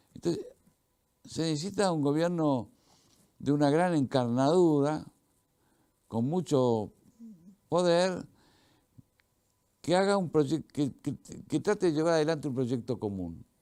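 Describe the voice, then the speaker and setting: A man with an Argentine accent and a dark, mellow tone speaks at a fairly slow pace and fairly high pitch, with long, frequent pauses. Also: ordinary pitch variation. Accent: Argentine Spanish (Rioplatense). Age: 70s. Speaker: veteran journalist and author. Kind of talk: interview. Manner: halting, repetitive.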